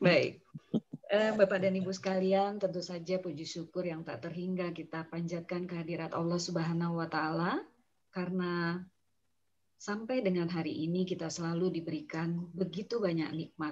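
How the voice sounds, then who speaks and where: A woman speaks at a moderate pace in a fairly low, somewhat breathy voice with fairly even intonation. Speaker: meeting moderator. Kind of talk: online meeting moderation. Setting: video call. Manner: formal. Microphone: too quiet.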